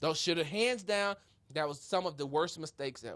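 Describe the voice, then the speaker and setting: A man talks loudly in an animated tone. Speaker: sports talk show host. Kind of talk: casual sports debate.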